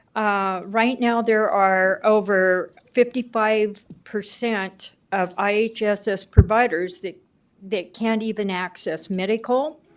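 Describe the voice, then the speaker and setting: The recording is very clean, with a silent background. A woman talks very slowly at medium pitch with ordinary pitch variation. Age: 70s. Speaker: care provider speaking at public comment. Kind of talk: public comment at county board meeting.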